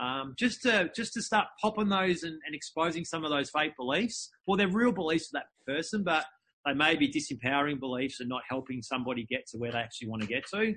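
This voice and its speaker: At a very fast pace, a man with an Australian accent talks with a fairly high pitch, very wide pitch swings and a bright, sharp tone. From Melbourne, Australia. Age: 40s. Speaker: entrepreneur and speaker. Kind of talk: interview.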